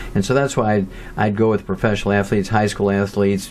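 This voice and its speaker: Over noticeable background noise, the speaker talks at a very fast pace in a flat monotone. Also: man. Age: 70s. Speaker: nutrition researcher. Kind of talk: interview.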